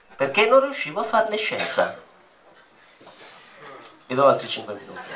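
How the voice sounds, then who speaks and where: A man talks at a moderate pace, his loudness swinging widely. Noticeable background noise can be heard. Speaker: stage performer. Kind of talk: live comic theatre monologue. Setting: live venue with audience.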